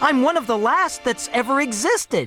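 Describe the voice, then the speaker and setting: The speaker uses a put-on character voice at a fairly high pitch and a moderate pace. Faint music plays in the background. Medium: read story.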